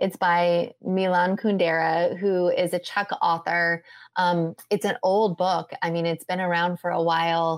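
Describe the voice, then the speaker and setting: A woman with an American accent uses a normal speaking voice at a fairly low pitch and fairly slow pace, with hardly any pauses. Her intonation is fairly even, her loudness very even, and the recording very clean with a silent background. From US Midwest, Indiana. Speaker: holistic health coach. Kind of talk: casual interview chat.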